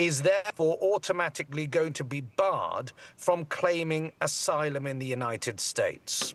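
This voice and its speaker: A man with a British accent and a fairly high pitch speaks at a moderate pace with lively intonation. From Britain. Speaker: immigration lawyer. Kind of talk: TV news interview.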